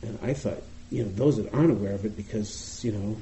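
Speaking fairly quickly, a man talks with an American accent. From US Northeast, Boston. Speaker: meditation teacher. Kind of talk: dharma talk. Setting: meditation retreat with audience.

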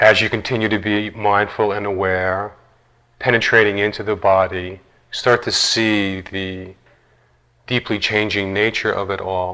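The man's fairly low voice has a bright, sharp tone yet a calm, soothing one. He speaks at a fairly slow pace with monotone, flat intonation. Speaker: meditation teacher. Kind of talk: guided meditation. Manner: slow, soft-spoken, calm and soothing with long pauses.

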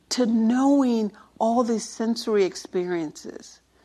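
A woman at a very slow pace, her pitch swinging very widely. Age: 60s. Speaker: meditation teacher. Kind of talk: dharma talk.

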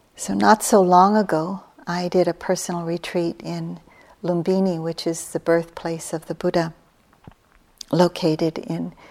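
In a very clean recording with a silent background, a normal speaking voice moves at a fairly slow pace with fairly even intonation. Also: woman. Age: 60s. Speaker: meditation teacher. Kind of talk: dharma talk. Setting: meditation hall with retreat audience.

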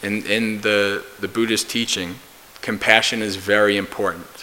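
Over noticeable background noise, a man with an American accent talks at a fairly low pitch with fairly even intonation. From US, New Jersey. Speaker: Buddhist monk and meditation teacher. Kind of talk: dharma talk.

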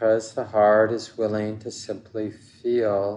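A man's dark, mellow, gentle voice sits at a fairly low pitch with monotone, flat intonation. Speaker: meditation teacher. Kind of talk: slow, soothing guided meditation with long contemplative pauses. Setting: meditation hall with group. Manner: slow, gentle and soft-spoken, drifting repetitive phrases; warm, unhurried, reassuring invitations.

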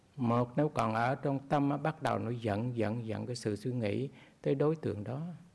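A man's medium-pitched speech, in a plain, everyday voice, moves at a moderate pace with ordinary pitch variation. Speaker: Buddhist monk teacher. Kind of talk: dharma talk.

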